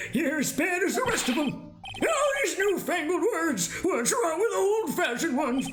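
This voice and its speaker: A put-on character voice at a moderate pace over loud background noise. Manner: grumpy, complaining.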